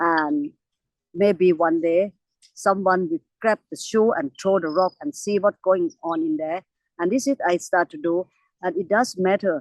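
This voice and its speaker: A woman with a Thai accent speaks at a medium pitch and a fairly slow pace. Her intonation is lively, and the sound is dry and close with no echo. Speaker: elephant conservationist. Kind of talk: interview. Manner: halting.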